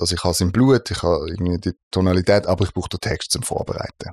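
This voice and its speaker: The delivery runs at a very fast pace in a dry, close sound with no echo, in a very clean recording with a silent background. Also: man. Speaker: voice-over artist and audio producer. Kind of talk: casual interview chat.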